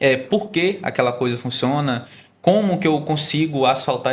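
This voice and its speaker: At a moderate pace, a man with an unremarkable speaking voice talks, and his pitch shifts in an ordinary way. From Maranhão interior, Brazil. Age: 20s. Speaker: state youth employment program coordinator. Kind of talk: podcast conversation.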